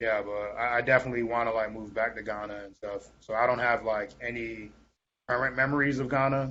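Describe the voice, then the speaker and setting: A man with an ordinary speaking voice talks at a fairly quick pace and medium pitch, his intonation fairly even but his loudness swinging widely. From Tampa, Florida (Ghanaian family). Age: 20s. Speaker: spoken word artist and rapper. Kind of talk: podcast interview. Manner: casual, many fillers.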